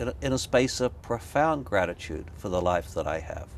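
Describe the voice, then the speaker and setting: A man at a medium pitch speaks with vocal fry and very wide pitch swings. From Australia. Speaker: author. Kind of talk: interview. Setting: in person in San Francisco.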